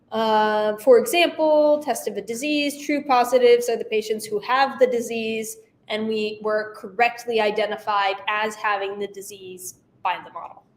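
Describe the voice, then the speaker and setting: Recorded with audible room echo, a woman speaks at a moderate pace with a fairly high pitch. Her pitch variation is ordinary, and there are big swings in loudness. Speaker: instructor. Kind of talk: lecture. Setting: class.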